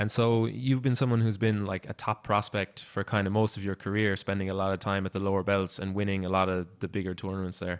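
With an Irish accent, a man speaks very fast at a fairly low pitch, his intonation fairly even. The sound is dry and close with no echo, a very clean recording over a silent background. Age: 20s. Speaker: podcast host. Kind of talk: interview.

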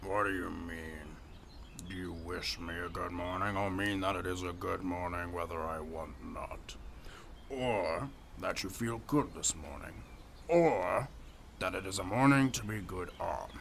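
In a put-on character voice with very deep, low pitch, a man speaks at a moderate pace with long, frequent pauses over clear background noise. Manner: grand, teasing, pedantic.

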